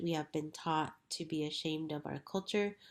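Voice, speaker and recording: This speaker talks with an American accent. The very clean recording has a silent background. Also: woman. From New Mexico, US (Pueblo communities). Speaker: educator and school co-founder. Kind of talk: interview.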